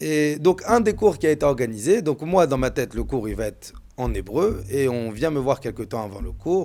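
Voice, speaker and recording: A man with a dark, mellow tone talks at a moderate pace in a medium pitch that swings very widely. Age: 30s. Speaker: rabbi. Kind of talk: storytelling. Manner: repetitive, stammering.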